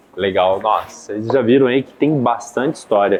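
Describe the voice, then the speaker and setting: Over noticeable background noise, a man speaks at a moderate pace and medium pitch with lively intonation. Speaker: podcast host. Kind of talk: casual chat. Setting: café. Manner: animated.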